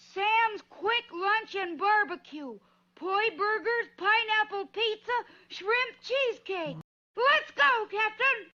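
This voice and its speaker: An extremely high-pitched, cartoonish character voice. It moves at a fairly slow pace. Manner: chipper, earnest, exclamatory.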